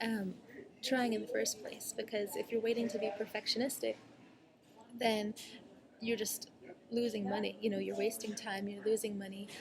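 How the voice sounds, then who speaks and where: There is noticeable background noise as a woman speaks in a fairly high pitch. Her intonation is monotone and flat, and she takes long, frequent pauses. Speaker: online marketing coach. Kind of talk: casual vlog tutorial. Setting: cafe, talking to laptop. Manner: fast; filler-heavy, many ums.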